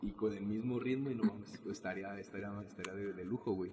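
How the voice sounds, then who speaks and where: A man talks at a fairly quick pace, his intonation fairly even, with noticeable background noise behind him. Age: 20s. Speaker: podcast host. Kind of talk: casual chat.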